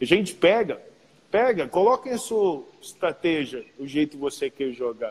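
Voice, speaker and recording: A man speaks at a fairly slow pace in a high pitch. His pitch swings very widely. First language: English (speaking Portuguese). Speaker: professional basketball player. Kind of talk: casual chat.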